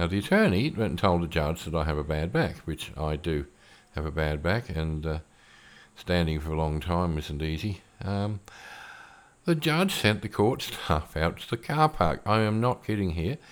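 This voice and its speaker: A man speaks with an Australian accent. His pitch is very deep and low, with ordinary variation. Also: moderate pace. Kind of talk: solo podcast monologue.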